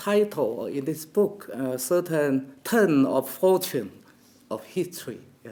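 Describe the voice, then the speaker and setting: A man with a Chinese accent talks at a very slow pace. His tone is dark and mellow, and his pitch swings very widely. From China. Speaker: professor. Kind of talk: academic conference talk. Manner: halting, many fillers.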